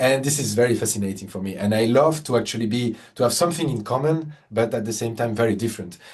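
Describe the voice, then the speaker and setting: A somewhat breathy man with a French accent talks at a very fast pace in a medium pitch, with ordinary pitch variation and hardly any pauses. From France. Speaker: concert pianist. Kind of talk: interview conversation. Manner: halting, many repetitions and fillers.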